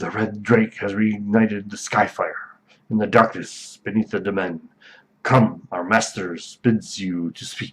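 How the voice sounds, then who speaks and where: In a put-on character voice, a man speaks fairly slowly at a fairly low pitch. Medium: read story.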